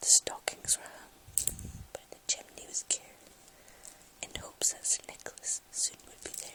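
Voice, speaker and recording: Relaxed whispering at a fairly slow pace over noticeable background noise. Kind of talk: ASMR poetry reading, softly spoken. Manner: soft-spoken, relaxed.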